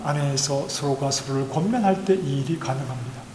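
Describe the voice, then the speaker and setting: A man talks at a moderate speed. Audible room echo and noticeable background noise surround him. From Gyeongsang province, South Korea. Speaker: pastor. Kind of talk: sermon. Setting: church.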